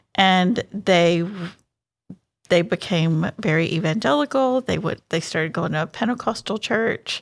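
At a fairly slow pace, a normal speaking voice with ordinary pitch variation comes through on a very clean recording with a silent background. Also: woman. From Houston, Texas. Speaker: charity coordinator. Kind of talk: casual interview.

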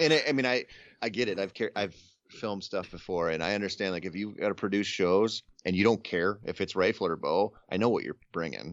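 A man with an ordinary speaking voice and an American accent, fairly quick pace and ordinary pitch variation. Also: fairly low pitch for a man. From southeastern Minnesota. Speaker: outdoor writer and podcaster. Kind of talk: casual interview.

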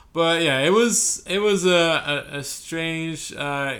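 Bright, sharp tone from a man with lively intonation, plus audible room echo. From France. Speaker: sports podcast host. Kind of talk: casual chat.

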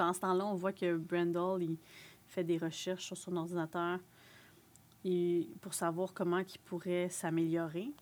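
A woman with a Quebec accent speaks at a fairly slow pace and a fairly low pitch, in a monotone, flat intonation. Her speech has long, frequent pauses, on a very clean recording with a silent background. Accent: Québécois French. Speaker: podcast co-host. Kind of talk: casual chat.

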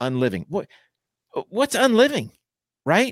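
Very wide pitch swings from a man, with a dry, close sound, no echo, and a very clean recording over a silent background. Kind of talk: pep talk. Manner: direct, urgent, motivational, punchy second-person commands; earnest, folksy, blunt, and emphatic.

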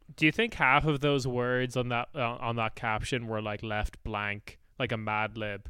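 A voice with an Irish accent carries a bright, sharp tone. Its intonation stays fairly even. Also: man, medium pitch for a man, fairly slow pace, very clean recording, silent background. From Ireland. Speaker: political podcaster, guest. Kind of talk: casual chat.

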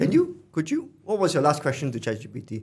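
Lively intonation marks this man's somewhat breathy voice. His pace is moderate. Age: 30s. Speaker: investor and former venture builder. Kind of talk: casual chat. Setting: studio. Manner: halting, many repeated words.

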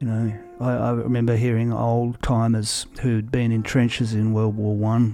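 Speaking in an Australian accent, a man with a medium-pitched voice keeps a moderate pace and a monotone, flat intonation, with hardly any pauses. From Australia, Victoria (Werribee). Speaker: singer-songwriter. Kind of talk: casual interview chat. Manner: halting, many fillers and repeats.

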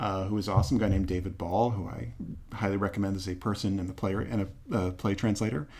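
With an American accent, a man talks at a very fast pace and a fairly low pitch. His voice is somewhat breathy, and his intonation is fairly even. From US Northeast, Boston. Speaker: theater producer and actor. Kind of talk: interview conversation.

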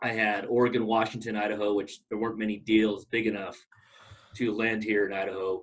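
A man with an American accent, at a fairly low pitch, speaking at a fairly quick pace with monotone, flat intonation. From Southern California (Long Beach). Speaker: mortgage banker. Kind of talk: casual interview. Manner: hesitant, many fillers.

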